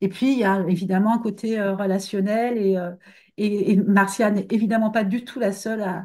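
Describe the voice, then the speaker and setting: A woman speaks at a moderate pace with a dark, mellow tone and medium pitch. Her intonation is monotone and flat, over a quiet background. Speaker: book editor. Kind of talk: interview. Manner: halting. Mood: relaxed, thoughtful. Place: home room. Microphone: webcam.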